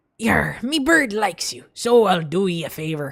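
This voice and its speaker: A put-on character voice sits at a middle pitch. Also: moderate pace. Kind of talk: rough.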